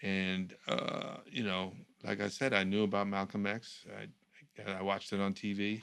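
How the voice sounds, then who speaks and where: In an American accent, a man talks at a fairly slow pace with fairly low pitch and a monotone, flat intonation. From New York. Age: 60s. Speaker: communications professional, former political speechwriter. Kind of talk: casual conversation.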